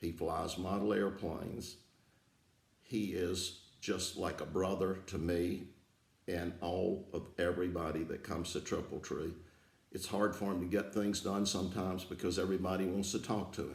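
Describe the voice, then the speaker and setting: A very deep, low, somewhat breathy man's voice at a moderate pace, with monotone, flat intonation and audible room echo. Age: 70s. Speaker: aerodrome founder and aviation enthusiast. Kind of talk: prepared thank-you speech. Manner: halting, with filler words.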